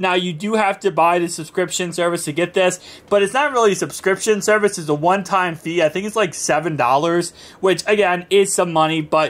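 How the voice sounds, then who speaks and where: A man speaks at a fairly quick pace in a high voice. His pitch varies in an ordinary way. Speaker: tech reviewer. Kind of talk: tech review tutorial. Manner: casual, with fillers and self-corrections.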